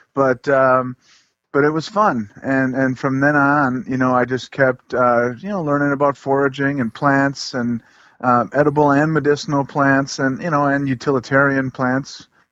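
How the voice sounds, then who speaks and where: A man with a plain, everyday voice, fairly high in pitch, with fairly even intonation and a moderate pace against a quiet background. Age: 40s. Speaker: forager and broom maker. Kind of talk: casual interview.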